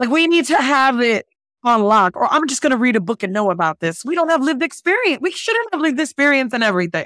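A woman with an American accent speaks very fast in a high, bright, sharp, animated voice. Her pitch swings very widely, and the sound is dry and close, with no echo. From Jersey City, New Jersey. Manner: animated, laughs often.

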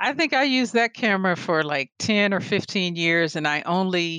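This woman has a normal speaking voice, fairly low in pitch, moving at a fairly slow pace with ordinary pitch variation against a quiet background. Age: 40s. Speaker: visual artist and photographer. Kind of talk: casual interview chat.

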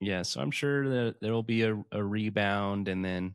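The recording is very clean, the background silent. A man with an unremarkable speaking voice talks fairly slowly at a fairly low pitch with ordinary pitch variation. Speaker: podcast host. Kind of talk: casual chat.

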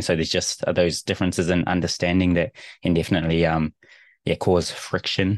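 In a New Zealand accent, a man with a very deep, low pitch speaks at a fairly quick pace and in a flat monotone, the sound dry and close with no echo over a quiet background. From New Zealand, Rotorua. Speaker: rugby team translator. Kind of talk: casual interview. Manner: hesitant, many fillers.

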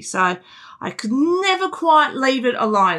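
A woman with an Australian accent speaks at a moderate pace in a bright, sharp tone, captured on a very clean recording with a silent background. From Canberra, Australia. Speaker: music teacher. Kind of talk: interview. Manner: animated.

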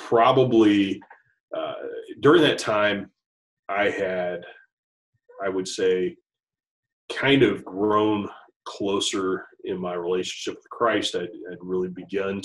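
Speaking at a very slow pace, a man talks with a Midwestern American accent. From US Midwest (Dayton, Ohio area). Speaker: school principal. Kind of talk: interview conversation. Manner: halting, many fillers and repeats.

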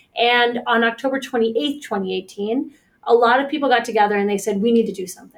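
The speaker has an American accent and ordinary pitch variation. It is a plain, everyday voice. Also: woman. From Pittsburgh, Pennsylvania. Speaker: licensed counselor and nonprofit director. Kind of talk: interview.

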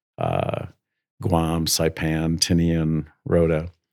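A man with an American accent and a very deep, low pitch on a very clean recording with a silent background. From US Midwest. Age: 70s. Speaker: school headmaster. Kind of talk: casual interview conversation.

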